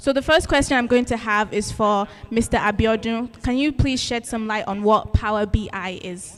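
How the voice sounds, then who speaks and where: Spoken at a moderate pace with hardly any pauses and ordinary pitch variation, the voice plays over music in the background. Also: woman, fairly high pitch for a woman. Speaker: student ambassador moderating a panel. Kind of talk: panel moderation. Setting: stage with audience.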